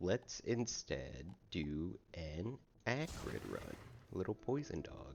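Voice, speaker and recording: A man's very deep, low voice with vocal fry, very wide pitch swings and a very slow pace. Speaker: gaming youtuber. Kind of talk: casual gameplay commentary. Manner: casual, hesitant with fillers.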